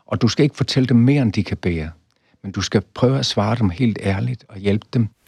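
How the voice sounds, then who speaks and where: This man talks at a fairly quick pace in a fairly low pitch. His voice is somewhat breathy, with lively intonation. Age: 80s+. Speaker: professor. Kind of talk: interview.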